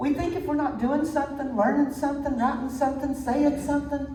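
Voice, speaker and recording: A woman with a high-pitched voice speaks in a Tennessee accent, with audible room echo and noticeable background noise. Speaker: minister. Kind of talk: sermon.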